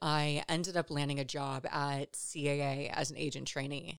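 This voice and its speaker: A woman with an American accent and a very deep, low pitch is heard in a very clean recording with a silent background. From Los Angeles, California. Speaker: podcast host. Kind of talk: solo reflective monologue about personal story.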